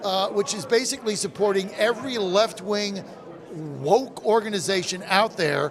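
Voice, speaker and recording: A man speaks at a high pitch and a moderate pace in an animated tone. Noticeable background noise runs under his voice. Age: 60s. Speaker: radio host. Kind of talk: casual chat. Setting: live broadcast at a convention.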